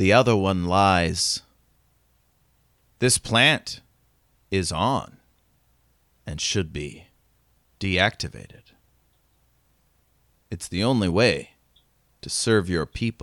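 On a very clean recording with a silent background, a man in a put-on character voice speaks very slowly at a fairly low pitch, leaving long, frequent pauses. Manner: cryptic, commanding, stern.

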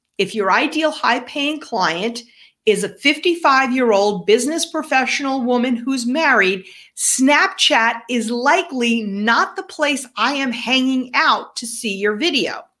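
In a New York accent, a high-pitched woman speaks at a fairly slow pace with lively intonation and a bright, sharp tone on a very clean recording with a silent background. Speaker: business podcast co-host. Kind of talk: casual chat.

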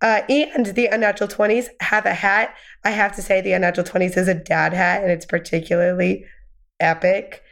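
A woman speaks in an unremarkable speaking voice at a medium pitch and a fairly quick pace. Her pitch variation is ordinary, and the background is quiet. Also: very even loudness. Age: 20s. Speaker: podcast host. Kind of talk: casual chat.

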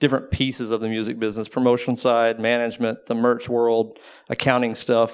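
This man has an unremarkable speaking voice with an American accent, at medium pitch and a moderate pace. The recording is very clean, with a silent background. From Texas (Waco). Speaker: booking agency owner. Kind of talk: panel interview. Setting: live talk with audience.

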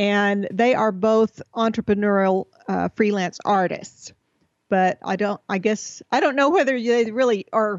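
A woman with an American accent speaks in a plain, everyday voice at medium pitch, moving at a moderate pace with ordinary pitch variation. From Texas. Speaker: entrepreneur and speaker. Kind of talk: interview.

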